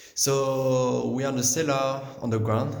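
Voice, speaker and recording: A man speaks with a French accent. The room echo is audible and the background noise is noticeable. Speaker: winemaker. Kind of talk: guided tour. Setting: underground cellar. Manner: halting, many fillers and restarts.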